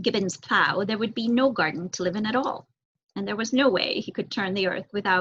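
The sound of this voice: Ordinary pitch variation marks an unforced reading voice heard over a quiet background.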